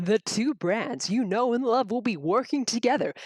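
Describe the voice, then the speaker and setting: A female-sounding voice uses a put-on character voice with fairly high pitch. She talks at a moderate pace. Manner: condescending, put-on corporate.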